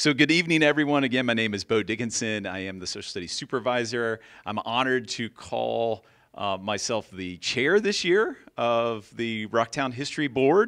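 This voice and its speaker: Over a quiet background, a man talks at a moderate pace with ordinary pitch variation. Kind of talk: introductory speech. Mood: warm, smiling. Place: hall. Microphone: handheld.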